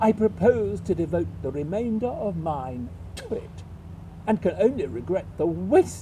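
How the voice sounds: This is a natural reading voice. The text is read aloud.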